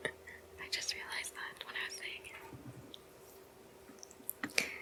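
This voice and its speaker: A whisper unfolds at a very slow pace, with noticeable background noise behind it. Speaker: ASMR content creator. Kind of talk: ASMR trigger video, casual talk to camera. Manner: casual, friendly, chatty.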